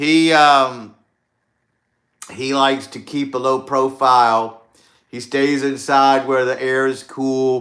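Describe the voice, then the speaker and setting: A man with a Southern US accent speaks at a very slow pace, with long, frequent pauses. His medium-pitched voice stays in a flat monotone. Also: big swings in loudness. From US South, Louisiana. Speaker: YouTuber. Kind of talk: casual live stream chat. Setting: outdoors at night, livestream. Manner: relaxed, with frequent fillers.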